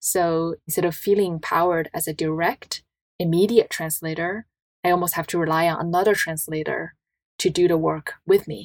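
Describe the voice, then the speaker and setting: In a very clean recording with a silent background, a woman speaks at a fairly low pitch, the sound dry and close with no echo. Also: fairly even intonation, moderate pace. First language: Chinese. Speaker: designer and entrepreneur. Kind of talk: interview conversation.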